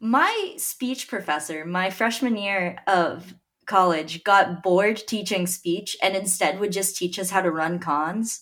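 A woman talks in an ordinary speaking voice with an American accent at medium pitch. Her pace is fairly slow and her pitch variation ordinary. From Dallas, Texas. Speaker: podcast host. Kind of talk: casual banter.

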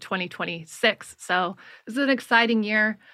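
A woman with a bright, sharp tone, recorded very cleanly against a silent background. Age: 40s. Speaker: elections activist and debate organizer. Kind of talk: interview.

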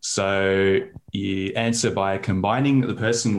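Talking with an Australian accent, a man lets his pitch rise and fall in an ordinary way. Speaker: regular podcast contributor. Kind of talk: casual chat.

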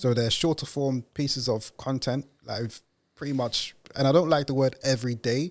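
A man speaks with a London accent. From East London, England. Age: 30s. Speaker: podcast founder and host. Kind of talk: interview. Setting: studio.

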